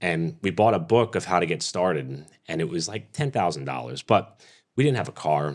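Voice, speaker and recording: A man with an American accent talks very fast in a very deep, low voice. Vocal fry is present throughout. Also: very clean recording, silent background. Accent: New York accent, thicker when casual. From Staten Island, New York City. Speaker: motorsport race announcer. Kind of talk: casual podcast interview. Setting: studio.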